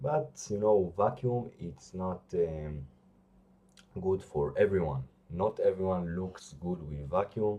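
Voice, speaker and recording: Very deep and low, a man's voice moves at a very slow pace with lively intonation. He speaks with a non-native accent. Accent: non-native English speaker. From Israel. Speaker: bodybuilder. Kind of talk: vlog talk to camera. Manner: halting, many fillers.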